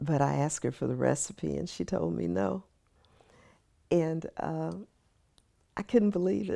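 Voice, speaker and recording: A woman speaks at a fairly slow pace with a Texan accent. Her pauses are long and frequent. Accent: Texan American English. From Austin, Texas. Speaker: lawyer. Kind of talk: oral history interview answer.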